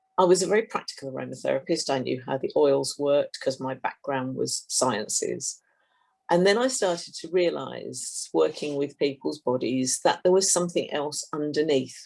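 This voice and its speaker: A woman with a southern British accent talks at a moderate pace. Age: 60s. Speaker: complementary therapist. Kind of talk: interview.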